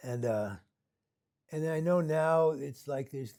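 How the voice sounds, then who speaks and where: Speaking in a dark, mellow tone, this man has an American accent. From US Pacific Northwest, Seattle. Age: 70s. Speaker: Buddhist meditation teacher. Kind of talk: dharma talk. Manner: casual, halting with repetitions.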